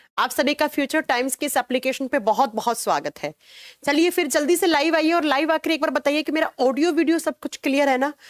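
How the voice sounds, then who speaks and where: A woman talks at a high pitch with ordinary pitch variation. The sound is dry and close, with no echo. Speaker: online biology teacher. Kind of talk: live online class. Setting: home studio.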